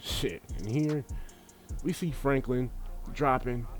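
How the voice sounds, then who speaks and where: Over music in the background, a man with a fairly high voice speaks at a moderate pace, his pitch swinging very widely. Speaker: gaming YouTuber. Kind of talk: gameplay commentary. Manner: animated; stuttering.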